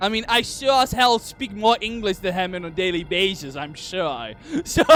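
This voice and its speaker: Over noticeable background noise, a man with a high pitch for a man speaks at a moderate pace in an animated tone with lively intonation. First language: Dutch. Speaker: video game streamer. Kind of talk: casual gameplay commentary.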